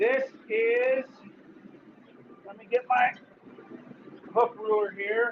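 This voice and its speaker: Loud and extremely high-pitched, a man speaks at a very slow pace in a flat monotone, with long, frequent pauses and noticeable background noise. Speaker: blacksmith. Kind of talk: live demonstration. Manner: casual.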